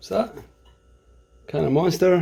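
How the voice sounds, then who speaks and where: In a Scottish accent, a man with a high pitch speaks with lively intonation. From Scotland. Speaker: vlogger. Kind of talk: vlog narration. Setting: outdoors. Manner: animated.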